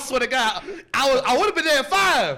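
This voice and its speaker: The voice is raised and projected, with very wide pitch swings. Noticeable background noise runs underneath. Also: man. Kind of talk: comedy podcast banter, casual talk about being beaten as a kid.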